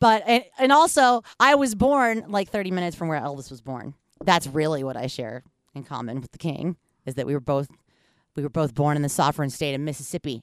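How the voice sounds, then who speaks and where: In a very clean, dry, close recording with no echo and a silent background, a woman with an American accent and a very deep, low pitch talks at a fairly quick pace, with very wide pitch swings and big swings in loudness. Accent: half Yankee, slight Southern. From US South. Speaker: podcast host. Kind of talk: casual chat. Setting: studio.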